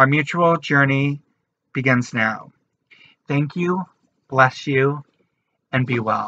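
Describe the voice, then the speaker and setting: Slowly and with long, frequent pauses, a man speaks at a very slow pace in a fairly high pitch. His tone is bright and sharp, his pitch variation ordinary, and the sound dry with no echo. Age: 20s. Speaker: artist, writer and activist. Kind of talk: channel introduction to camera. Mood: warm, earnest. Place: home room. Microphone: webcam.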